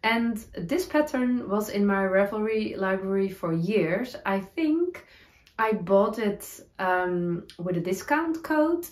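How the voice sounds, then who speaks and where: Over a quiet background, a woman speaks very slowly with very wide pitch swings. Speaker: knitting podcaster. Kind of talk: casual vlog chat. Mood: cheerful, laughing at times. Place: home room.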